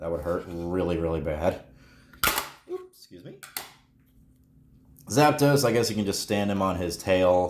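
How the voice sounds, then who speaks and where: A man's voice with audible room echo. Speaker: toy collector YouTuber. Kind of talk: unboxing commentary. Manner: casual, halting.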